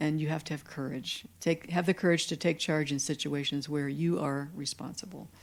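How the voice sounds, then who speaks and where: On a very clean recording with a silent background, a woman with an American accent speaks with a very deep, low pitch, vocal fry, ordinary pitch variation and hardly any pauses. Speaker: dietitian and professor. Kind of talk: lecture. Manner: fast.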